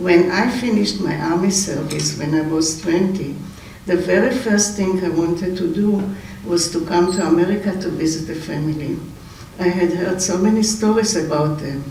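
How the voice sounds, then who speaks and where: Over noticeable background noise and audible room echo, a man with an Israeli accent talks at a moderate pace in a high pitch, with ordinary pitch variation. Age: 80s+. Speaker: relative giving memorial speech. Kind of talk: memorial eulogy. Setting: memorial gathering. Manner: halting, with hesitations.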